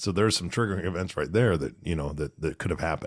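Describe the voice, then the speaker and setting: This man's voice sits very deep and low. The recording is very clean, with a silent background. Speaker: podcast co-host. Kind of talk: casual chat.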